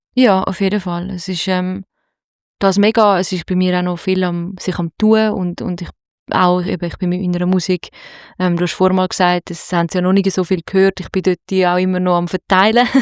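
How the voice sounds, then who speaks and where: In a very clean, dry, close recording with a silent background and no echo, a woman talks at a medium pitch in a monotone, flat delivery. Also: moderate pace. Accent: Zurich. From Zurich, Switzerland. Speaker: singer-songwriter and producer. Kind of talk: interview. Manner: halting.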